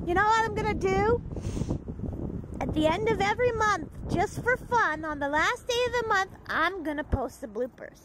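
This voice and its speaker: Very wide pitch swings mark this moderately paced voice, which sounds dry with no echo amid noticeable background noise. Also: woman, extremely high pitch for a woman. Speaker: vlogger. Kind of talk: casual vlog chat. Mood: playful, joking. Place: street. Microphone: phone near.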